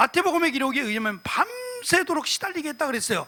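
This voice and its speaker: A raised, projected voice at a fairly quick pace. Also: man. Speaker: pastor. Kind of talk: sermon. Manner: fast.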